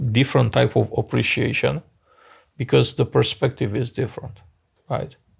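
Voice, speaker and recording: A man is speaking. He has a Romanian accent. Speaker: business founder. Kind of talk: interview.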